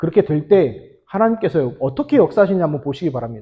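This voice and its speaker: Somewhat breathy, the man's voice rises and falls with lively intonation. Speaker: pastor. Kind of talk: sermon. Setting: church. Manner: fast.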